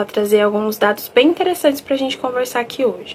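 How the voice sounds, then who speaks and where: A high-pitched woman's voice amid noticeable background noise. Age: 20s. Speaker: psychologist and UX designer. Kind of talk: recorded talk; live Q&A. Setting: online live event.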